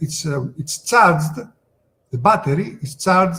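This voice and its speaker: A man with a Greek accent talks at a fairly slow pace. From Greece. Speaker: sales presenter. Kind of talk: webinar product presentation. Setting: online webinar. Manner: halting, many fillers.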